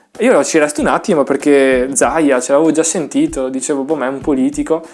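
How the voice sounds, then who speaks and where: Over music in the background, a man with a Venetian accent talks at a fairly quick pace. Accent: Venetian Italian. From northern Italy, Veneto (Vicenza province). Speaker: trumpet teacher. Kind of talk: tutorial. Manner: casual, hesitant fillers.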